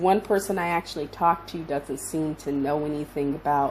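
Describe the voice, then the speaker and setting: Noticeable background noise sits behind a woman's voice. Her pitch variation is ordinary. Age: 60s. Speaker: visual artist, channel owner. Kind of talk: casual vlog talk. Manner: casual with frequent hesitations.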